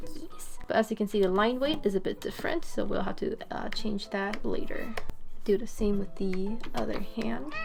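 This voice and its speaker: A woman keeps a moderate speed while music plays in the background. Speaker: animator. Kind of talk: tutorial narration while screen recording. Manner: casual, hesitant with pauses.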